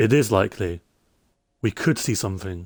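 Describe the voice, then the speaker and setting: The recording of this man is dry and close, with no echo. He has a British accent and a fairly low pitch with ordinary pitch variation. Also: very clean recording, silent background. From UK. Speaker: Minecraft streamer. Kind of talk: casual live stream chat.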